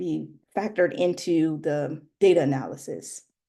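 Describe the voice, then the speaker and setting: The setting is hushed. A woman's tone is dark and mellow. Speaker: university researcher giving a webinar talk. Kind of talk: lecture. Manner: fast.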